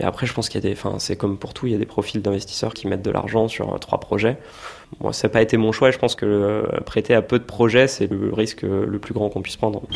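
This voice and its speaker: The speech goes at a very fast pace with monotone, flat intonation. Noticeable background noise can be heard. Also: man, fairly low pitch for a man. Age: 30s. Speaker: small business owner and investor. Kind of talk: interview.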